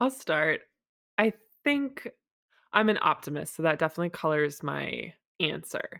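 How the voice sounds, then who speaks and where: Over a silent background in a very clean recording, a woman speaks at a moderate pace with long, frequent pauses, the sound dry and close with no echo. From Massachusetts, US. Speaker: MBA student and entrepreneur. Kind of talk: interview conversation.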